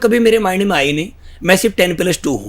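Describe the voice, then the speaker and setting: A man speaks with lively intonation. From northern India, Greater Noida. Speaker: network marketing leader. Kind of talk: interview.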